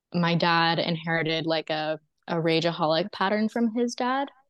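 An unremarkable speaking voice with an American accent moves at a fairly slow pace, the sound dry and close with no echo. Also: woman. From Texas, US South. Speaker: storyteller and musician. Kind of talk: personal testimony in interview.

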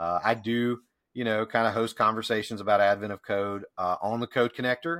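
A man with a normal speaking voice and an American accent, fairly low in pitch with ordinary pitch variation and a fairly quick pace, in a dry, close sound with no echo on a very clean recording with a silent background. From US South. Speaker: IT consultant. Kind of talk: casual chat.

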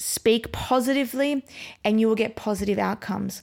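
Speaking with an Australian accent, a woman uses a monotone, flat intonation. Her pitch is fairly high. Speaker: podcast host and brain coach. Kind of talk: pep talk. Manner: urgent, motivational, direct address; repetitive, emphatic.

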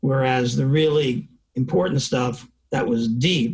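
Very slowly, a man with an American accent speaks in a fairly high, somewhat breathy voice. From New York (Bronx, Long Island). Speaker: professor. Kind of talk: interview.

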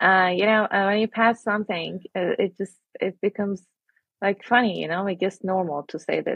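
Her pace stays moderate. The woman's pitch is medium. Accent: Iranian. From Iran. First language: Persian. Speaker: interviewee sharing personal story. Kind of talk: personal testimony. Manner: halting.

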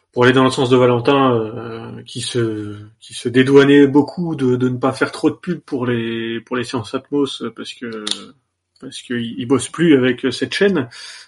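A man with a normal speaking voice talks at a fairly slow pace and a medium pitch. His intonation stays fairly even while his loudness swings widely. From Normandy, France. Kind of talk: casual chat.

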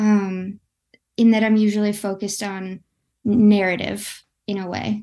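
With a dark, mellow tone and a medium pitch, a woman talks in a flat monotone, leaving long, frequent pauses against a quiet background. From West Michigan, US. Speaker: artist. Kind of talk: interview conversation.

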